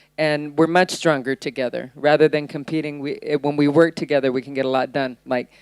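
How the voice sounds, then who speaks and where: A woman speaks with an American accent on a very clean recording with a silent background. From USA. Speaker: entrepreneur and panelist. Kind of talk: panel discussion. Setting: stage with audience. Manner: blunt.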